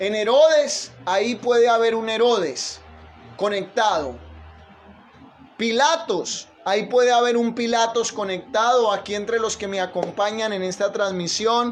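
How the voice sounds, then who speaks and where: A man with a high pitch speaks at a fairly slow pace with ordinary pitch variation. Audible room echo surrounds his voice. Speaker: pastor. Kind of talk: sermon. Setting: livestream.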